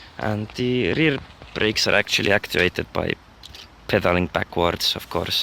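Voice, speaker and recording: A man talks at a fairly slow pace in a fairly low pitch. Noticeable background noise runs behind him. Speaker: motorized bike hobbyist. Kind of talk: casual walkaround talk to camera.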